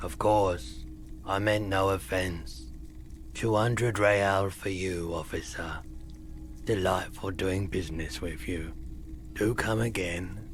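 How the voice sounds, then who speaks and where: Against clear background noise, a man puts on a character voice that is very deep and low, talking at a fairly slow pace with long, frequent pauses. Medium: video game. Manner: polite, formal, slightly cryptic.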